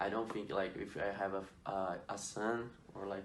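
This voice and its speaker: A man speaks with a Portuguese accent at a moderate pace. Audible room echo is present. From Brazil. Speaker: student athlete podcast host. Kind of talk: student podcast interview.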